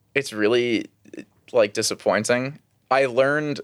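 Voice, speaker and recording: Over a quiet background, a man with an American accent speaks at a fairly quick pace. His is a plain, everyday voice at a medium pitch. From New York City (Queens, Long Island). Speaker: TikTok creator. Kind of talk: casual chat.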